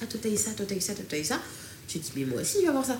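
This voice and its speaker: With audible room echo and noticeable background noise, a woman talks at a very fast pace in very wide pitch swings. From France, Strasbourg area suburbs. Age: 20s. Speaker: digital transformation consultant. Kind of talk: casual chat.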